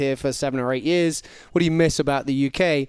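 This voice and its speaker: On a very clean recording with a silent background, a man with an English accent talks at a fairly quick pace with ordinary pitch variation. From England. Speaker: football analyst. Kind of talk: casual chat. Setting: studio.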